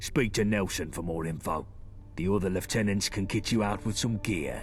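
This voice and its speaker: Clear music plays in the background as a man with a fairly low pitch performs a put-on character voice. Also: moderate pace. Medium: machinima. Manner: blunt, commanding.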